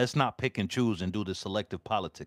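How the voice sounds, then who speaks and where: A man's voice in a very clean recording with a silent background, dry and close with no echo. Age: 40s. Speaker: political live-stream host. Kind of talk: live stream political commentary. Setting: live stream.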